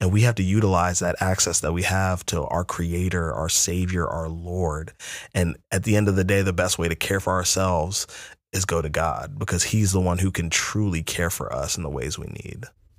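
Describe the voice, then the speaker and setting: The intonation stays fairly even on a very clean recording with a silent background. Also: man, very deep, low pitch for a man, moderate pace. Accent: American. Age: young. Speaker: podcast co-host and youth pastor. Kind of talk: casual chat.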